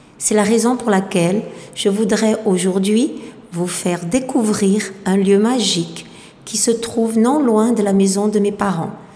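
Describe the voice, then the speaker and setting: Noticeable background noise and audible room echo are present. A woman speaks slowly-ish, at a fairly slow pace, her medium-pitched voice fairly even in intonation. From southern France, Marseille. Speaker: French teacher. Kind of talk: scripted narration.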